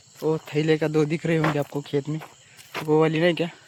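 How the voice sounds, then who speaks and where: Noticeable background noise fills the recording. Over it, a man talks at a fairly high pitch. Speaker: farmer vlogger. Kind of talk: casual vlog narration. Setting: outdoors in a field. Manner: halting in Hindi.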